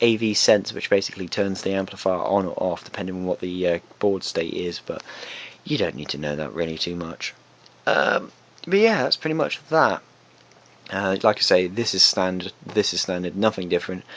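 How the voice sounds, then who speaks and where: Soft-spoken, a man with a very deep, low pitch and ordinary pitch variation talks over noticeable background noise. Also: moderate pace. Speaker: retro arcade hobbyist video maker. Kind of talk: tutorial. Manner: soft-spoken, keeping quiet late at night; halting, many fillers.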